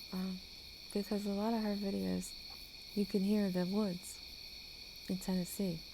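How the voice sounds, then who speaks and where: Soft-spoken and dark, mellow in tone, a woman speaks at a medium pitch and a moderate pace in a monotone, flat intonation, with long, frequent pauses. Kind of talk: ASMR talking to sleep. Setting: outdoors, screened porch with night woodland sounds. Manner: casual, unscripted chatting.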